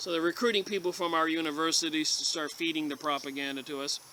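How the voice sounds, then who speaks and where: There is noticeable background noise as a man speaks at a fairly quick pace with an American accent. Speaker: conspiracy book reviewer. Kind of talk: reading aloud with commentary. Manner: halting.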